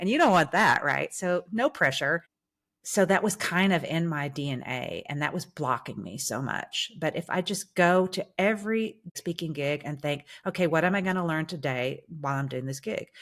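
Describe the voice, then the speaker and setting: On a very clean recording with a silent background, a woman with a plain, everyday voice speaks at a moderate pace, using a fairly low pitch and lively intonation. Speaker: singer and musical actress turned speaker. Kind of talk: podcast interview.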